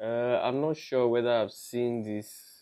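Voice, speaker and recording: A man with a Nigerian accent speaks with fairly even intonation. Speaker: gaming commentator. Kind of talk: casual gameplay commentary.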